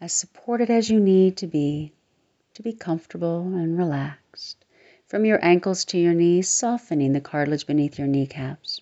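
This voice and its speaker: A woman talks at a moderate pace in a normal speaking voice. Her pitch is fairly low with ordinary variation. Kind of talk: guided meditation. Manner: soft-spoken, reassuring.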